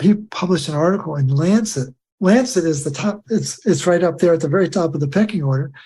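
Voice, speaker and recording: Speaking at a fairly quick pace, a man has a dark, mellow tone and ordinary pitch variation. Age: 70s. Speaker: author on nutrition and minerals. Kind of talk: interview.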